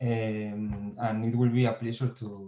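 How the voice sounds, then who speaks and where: A man's medium-pitched voice, dark and mellow in tone, at a fairly slow pace with monotone, flat intonation. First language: Spanish or Basque. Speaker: digital culture lab coordinator. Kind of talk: online conference talk. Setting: video call from home. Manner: halting.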